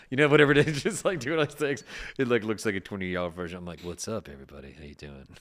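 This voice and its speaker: Vocal fry at a very fast pace, with very wide pitch swings and big swings in loudness. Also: man, fairly low pitch for a man. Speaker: podcast host. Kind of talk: casual chat.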